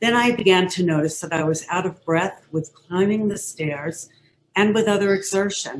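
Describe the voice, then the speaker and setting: Her voice is a normal speaking voice, medium in pitch for a woman, with ordinary pitch variation at a moderate pace. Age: 60s. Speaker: patient sharing illness story. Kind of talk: testimony.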